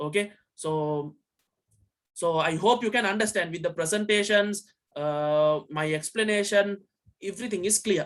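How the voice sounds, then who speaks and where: The speech moves at a moderate pace. Long pauses come frequently. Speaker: science teacher. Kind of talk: online lecture. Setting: video call.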